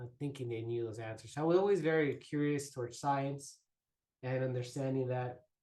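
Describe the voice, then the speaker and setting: Somewhat breathy and dark, mellow in tone, a man speaks at a medium pitch and a moderate pace. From Chicago, Little Village (Mexican-American community). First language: Spanish. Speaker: neuroscience trainee. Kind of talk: interview conversation. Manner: halting, many fillers and repetitions.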